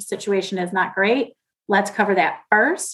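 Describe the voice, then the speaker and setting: A woman with a plain, everyday voice, medium pitch and a fairly quick pace. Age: 40s. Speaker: financial advisor, podcast co-host. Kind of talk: casual interview chat.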